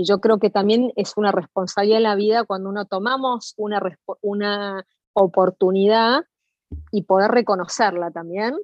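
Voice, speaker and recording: A woman speaks with a Rioplatense accent at a moderate pace. Her medium pitch shows ordinary variation. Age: 50s. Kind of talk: interview.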